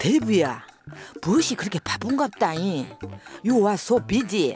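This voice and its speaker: Over music in the background, a voice with a Jeolla accent moves through very wide pitch swings. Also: woman, medium pitch for a woman. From South Korea, Jeolla region. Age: old.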